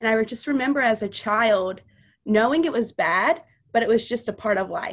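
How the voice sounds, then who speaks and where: A woman with an American accent and a fairly high pitch, an unremarkable speaking voice, a moderate pace and ordinary pitch variation. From US South, Louisiana and Missouri. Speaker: mother sharing her faith testimony. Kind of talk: testimony.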